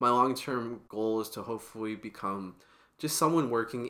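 A man with an American accent talks at a fairly quick pace. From US Pacific Northwest, Portland, Oregon. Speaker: student podcast co-host. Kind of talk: casual chat.

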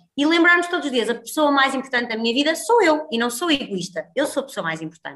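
Projecting a raised voice, a woman with a high pitch talks at a fairly quick pace with lively intonation. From northern Portugal, Guimarães. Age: 30s. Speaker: healthy-eating entrepreneur and cooking instructor. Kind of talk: casual interview chat.

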